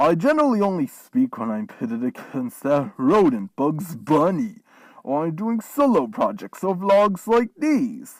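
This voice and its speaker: A put-on character voice at middle pitch swings very widely in pitch at a moderate pace. The recording is very clean, with a silent background. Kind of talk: in-character vlog rant.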